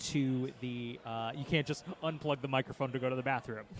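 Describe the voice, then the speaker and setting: Fairly quick in pace, a man speaks with fairly even intonation. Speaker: podcast host. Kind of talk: casual chat. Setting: convention booth. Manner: loud.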